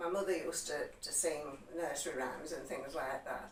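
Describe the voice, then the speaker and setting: In a room with audible echo and noticeable background noise, a woman with a West Yorkshire accent speaks at a moderate pace. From West Yorkshire, Huddersfield area. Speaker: interviewee on local heritage. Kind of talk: interview, personal recollection. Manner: hesitant, with fillers.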